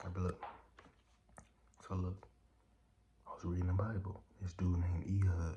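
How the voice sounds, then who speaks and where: The speech moves at a moderate pace, with long, frequent pauses. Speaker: social media storyteller. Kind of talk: casual storytelling. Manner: casual, filler-heavy.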